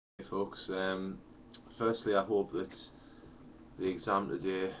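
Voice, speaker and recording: Fairly even intonation marks this man's very deep, low voice as he speaks at a fairly slow pace. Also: long, frequent pauses. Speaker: history teacher. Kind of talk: educational lecture. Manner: casual, hesitant.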